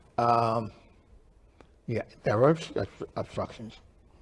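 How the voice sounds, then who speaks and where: A somewhat breathy male voice at medium pitch with an American accent, fairly even intonation and a very slow pace. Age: 80s+. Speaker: computer pioneer. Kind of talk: interview.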